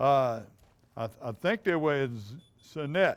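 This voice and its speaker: The speaker has a Louisiana accent and lively intonation. The sound is dry and close with no echo, on a very clean recording with a silent background. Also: man. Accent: Louisiana Southern. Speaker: outdoors TV show host. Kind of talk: reading tournament results. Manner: halting.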